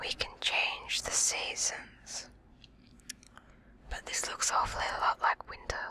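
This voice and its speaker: Someone whispers in a calm tone at a very slow pace. There is noticeable background noise. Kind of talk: ASMR gaming let's play commentary. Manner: whispered; soft-spoken, calm.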